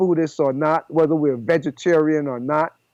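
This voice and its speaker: The recording is dry and close with no echo, over a quiet background. A man talks at a moderate pace with ordinary pitch variation. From Panama. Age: 70s. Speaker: raw food chef. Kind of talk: podcast interview.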